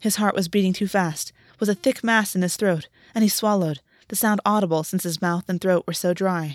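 A natural voice, reading aloud

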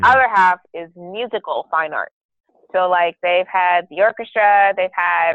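A woman talks at a moderate pace. She has an ordinary speaking voice at medium pitch. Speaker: guest, host's sister, college student. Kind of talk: casual chat.

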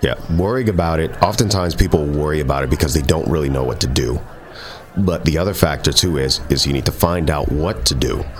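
Over noticeable background noise, a man speaks at a fairly quick pace in a very deep, low pitch. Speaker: guest. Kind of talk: interview conversation.

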